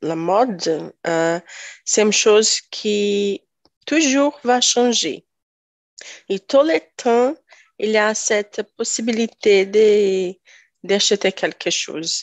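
Speaking very slowly with long, frequent pauses, a woman at medium pitch talks in a Brazilian accent. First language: Portuguese (speaking French). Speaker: tech worker. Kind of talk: casual discussion. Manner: halting.

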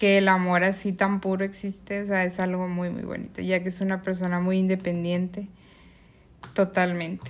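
On a very clean recording with a silent background, a woman speaks at medium pitch and a fairly slow pace in a monotone, flat intonation. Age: 30s. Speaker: sister. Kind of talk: casual family conversation.

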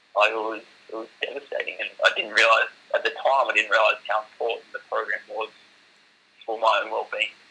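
A man with an Australian accent talks at a fairly quick pace amid noticeable background noise. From Australia, Shoalhaven NSW. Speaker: para footballer. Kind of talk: interview.

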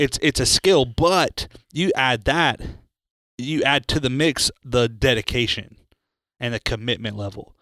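A man talks at a medium pitch in a bright, sharp tone, with ordinary pitch variation. The recording is very clean and dry, close, with a silent background and no echo. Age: 30s. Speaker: executive pastor co-hosting church podcast. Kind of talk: casual chat.

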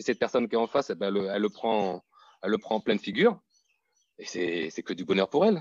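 A man with a fairly low pitch talks at a very fast pace, yet with long, frequent pauses. His pitch variation is ordinary, and the sound is dry and close with no echo. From Martinique. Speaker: fitness coach. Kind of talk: interview conversation.

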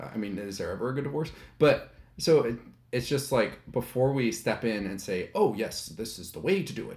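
With lively intonation, a man speaks in a somewhat breathy voice at a medium pitch. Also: moderate pace, big swings in loudness. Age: 30s. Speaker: podcast guest. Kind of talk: casual chat.

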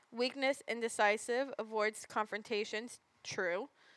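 A woman with an ordinary speaking voice speaks at a fairly high pitch with fairly even intonation. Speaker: podcast co-host. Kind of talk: casual chat.

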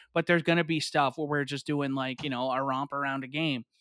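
A fairly quick, fairly high-pitched male voice in a very clean recording with a silent background. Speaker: podcast host. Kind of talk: casual chat.

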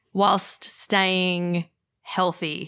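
A woman speaks at a medium pitch with a bright, sharp tone. The recording is very clean, with a silent background. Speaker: podcast host and communication coach. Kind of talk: interview on podcast.

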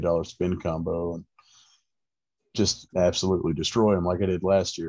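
At a fairly quick pace, a man speaks in a very deep, low pitch with monotone, flat intonation over a quiet background. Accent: American. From central Florida. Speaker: angler. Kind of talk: casual chat.

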